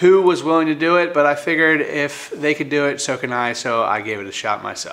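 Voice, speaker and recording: Speaking at a fairly quick pace, a man talks with hardly any pauses. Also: ordinary pitch variation. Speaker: van build vlogger. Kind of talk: casual vlog chat. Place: garage.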